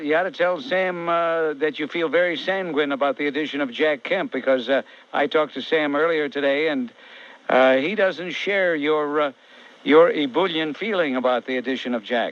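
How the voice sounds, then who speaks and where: A speaker with an American accent uses an ordinary speaking voice at a moderate pace with ordinary pitch variation. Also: man, fairly high pitch for a man. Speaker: radio talk show host. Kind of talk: talk radio call-in. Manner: combative, blunt.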